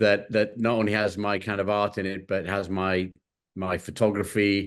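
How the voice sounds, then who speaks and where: A man's monotone, flat delivery, fairly low in pitch, at a moderate pace. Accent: English. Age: 60s. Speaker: creative director and collage artist. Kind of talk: interview. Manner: hesitant, many fillers.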